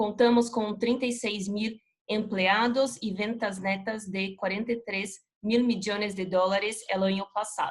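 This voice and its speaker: With a non-native accent, the speaker talks fairly slowly in a monotone, flat intonation, somewhat breathy and with hardly any pauses. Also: woman, fairly high pitch for a woman. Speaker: chemical company regional manager. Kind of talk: corporate presentation.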